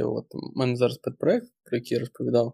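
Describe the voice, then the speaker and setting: A dark, mellow tone and fairly even intonation mark this man's speech. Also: dry, close sound with no echo. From western Ukraine. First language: Russian (speaking Ukrainian). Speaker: senior product manager and course instructor. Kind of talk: casual interview chat. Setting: remote podcast recording.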